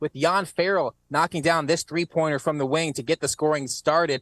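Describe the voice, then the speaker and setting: At a fairly quick pace, an energetic tone comes through a very clean recording with a silent background and a dry, close sound with no echo. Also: man. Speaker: sportscaster. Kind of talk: TV sports report.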